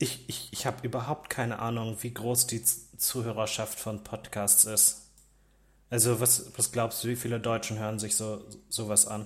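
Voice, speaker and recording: A man's somewhat breathy, medium-pitched voice at a moderate pace, monotone and flat in intonation. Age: young. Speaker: podcast co-host, technician. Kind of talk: casual political discussion. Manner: halting, repeats words.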